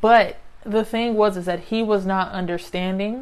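An unremarkable speaking voice from a woman with an American accent, fairly slow in pace and fairly even in intonation. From US, grew up in housing projects. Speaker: podcast host. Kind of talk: solo podcast monologue. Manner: conversational, frequent tag questions.

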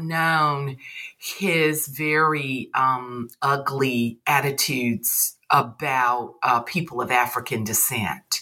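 A woman with a Southern US accent, very deep and low in pitch, bright and sharp in tone, very slow yet with hardly any pauses, on a very clean recording with a silent background. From US South. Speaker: poet and English professor. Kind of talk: casual interview chat.

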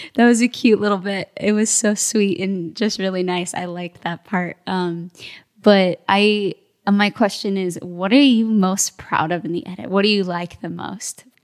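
With a plain, everyday voice, a woman speaks at medium pitch and a moderate pace, her intonation fairly even. Her loudness swings widely, and the sound is dry and close with no echo. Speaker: podcast co-host. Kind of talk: casual interview.

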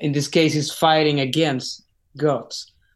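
A man with a Spanish accent talks in a monotone with flat intonation. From Chile. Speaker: rock singer. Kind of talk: interview. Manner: halting, many repetitions.

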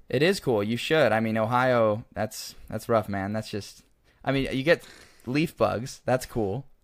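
In a plain, everyday voice, a man with an American accent speaks at a fairly slow pace on a very clean recording with a silent background. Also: medium pitch for a man, ordinary pitch variation. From Oregon. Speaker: podcast host. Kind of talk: casual chat.

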